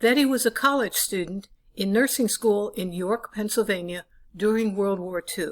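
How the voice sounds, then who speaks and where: A woman speaks in a plain, everyday voice, fairly high in pitch, with ordinary pitch variation and a moderate pace. The recording is very clean, with a silent background. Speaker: interviewer and editor. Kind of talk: documentary narration.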